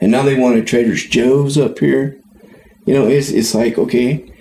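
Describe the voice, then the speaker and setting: A man with an American accent, medium pitch and moderate pace, against noticeable background noise. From California, Tuolumne County. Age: 50s. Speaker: podcast co-host. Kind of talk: casual chat.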